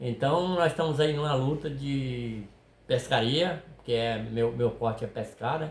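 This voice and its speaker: A man's somewhat breathy voice moves along at a fairly slow pace. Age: 60s. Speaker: fishing video creator, retired worker. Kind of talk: casual chat. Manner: halting.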